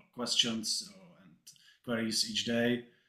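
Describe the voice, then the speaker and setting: A fairly slow pace with a non-native accent. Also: man. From Czech Republic. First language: Czech. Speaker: agency owner asking panel a question. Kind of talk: question at online panel. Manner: halting.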